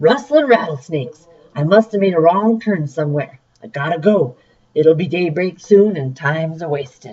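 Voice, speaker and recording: Putting on a character voice, a woman sounds gruff and raspy at a fairly low pitch, with lively intonation and a moderate pace. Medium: read story.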